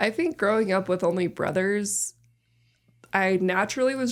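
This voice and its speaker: An ordinary speaking voice from a woman at medium pitch, moderate pace and lively intonation, on a very clean recording with a silent background. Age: 30s. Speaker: host's younger sister. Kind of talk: casual chat.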